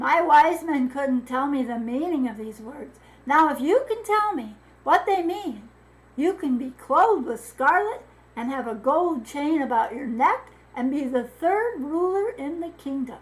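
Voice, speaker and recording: Putting on a character voice, a woman speaks high with very wide pitch swings and big swings in loudness. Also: moderate pace. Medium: read story. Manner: stammering, anxious.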